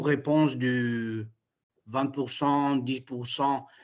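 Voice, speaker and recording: Against a quiet background, a man with an Italian accent speaks at a very slow pace. His intonation is flat and monotone. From Italy. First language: Italian (speaking French). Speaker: prospective franchisee attending session. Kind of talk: Q&A question. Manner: halting, searching for words.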